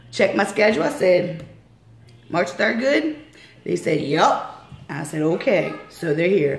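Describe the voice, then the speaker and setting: With audible room echo and noticeable background noise, a woman with a fairly low pitch speaks at a fairly slow pace, using long, frequent pauses and very wide pitch swings. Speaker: radio interview host. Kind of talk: casual interview.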